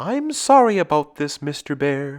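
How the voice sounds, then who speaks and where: A man puts on a character voice at a fairly high pitch, talking at a moderate pace. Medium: read story.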